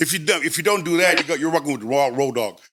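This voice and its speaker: A man speaks with a bright, sharp tone at a fairly high pitch and an American accent. His pitch varies in an ordinary way. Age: 60s. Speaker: former gang member. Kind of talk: casual podcast interview.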